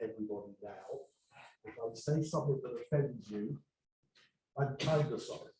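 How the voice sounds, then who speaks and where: Somewhat breathy and dark, mellow in tone, a man speaks at a moderate pace with a medium pitch and ordinary pitch variation. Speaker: HVAC engineer, presenter. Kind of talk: educational presentation. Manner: humorous, casual.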